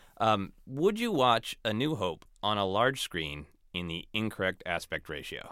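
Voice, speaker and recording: A man's fairly low-pitched voice, bright and sharp in tone, with lively intonation and a fairly slow pace. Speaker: podcast host. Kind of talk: casual chat. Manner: animated, laughs often.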